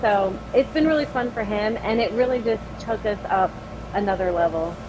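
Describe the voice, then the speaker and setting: Amid noticeable background noise, a woman talks at a moderate pace and fairly high pitch with ordinary pitch variation. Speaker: metal band singer. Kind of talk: casual interview chat.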